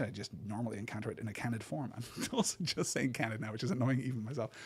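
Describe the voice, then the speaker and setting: Somewhat breathy, the speaker goes at a very fast pace with an American accent. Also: man. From Britain. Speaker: podcast host discussing books. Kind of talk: solo podcast lecture. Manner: frequent repetitions and fillers like 'right?'.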